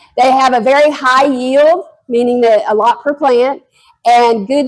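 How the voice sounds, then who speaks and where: A loud woman talks at a high pitch with ordinary pitch variation. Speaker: master gardener and blackberry grower. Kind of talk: educational talk to an audience.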